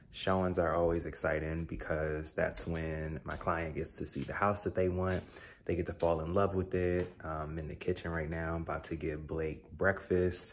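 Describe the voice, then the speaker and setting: Over light background noise, a man with a very deep, low voice speaks in a flat monotone at a moderate pace with hardly any pauses. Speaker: realtor vlogger. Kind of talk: casual vlog chat. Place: kitchen. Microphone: phone near.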